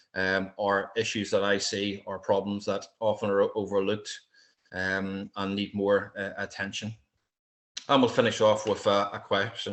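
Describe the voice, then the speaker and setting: At a moderate pace, the speaker talks with a strong Irish accent. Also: man. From Ireland. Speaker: military veteran and wildlife security trainer. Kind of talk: lecture. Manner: hesitant, many fillers.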